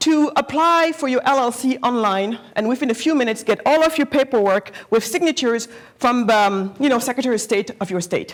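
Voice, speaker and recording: Animated in tone, a woman talks at a fairly quick pace in a high voice. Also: ordinary pitch variation. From Senegal, raised partly in Germany. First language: not English; English is her fourth language. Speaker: entrepreneur, guest speaker. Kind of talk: talk to students. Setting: lecture hall with student audience. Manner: occasionally stumbling over words; animated, interactive.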